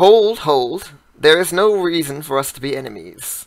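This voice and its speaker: A man speaks in a put-on character voice. His pitch is fairly high and his pace is moderate. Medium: actual play. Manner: haughty, imperious.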